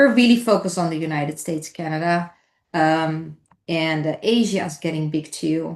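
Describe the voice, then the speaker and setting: With a Dutch accent, a woman speaks at a moderate pace in a fairly low pitch with ordinary pitch variation against a quiet background. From Netherlands. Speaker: entrepreneur. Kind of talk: podcast interview.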